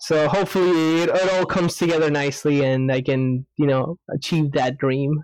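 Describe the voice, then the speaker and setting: With an unremarkable speaking voice, a man talks at a moderate pace and a fairly high pitch, keeping fairly even intonation, very even loudness and hardly any pauses. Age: 20s. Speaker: podcast guest. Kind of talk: casual chat. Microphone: echo.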